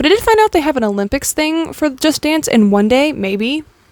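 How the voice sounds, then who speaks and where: A woman talks at a fairly quick pace with very wide pitch swings. Noticeable background noise runs beneath her. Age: 20s. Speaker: vlogger. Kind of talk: casual vlog monologue. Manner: fast.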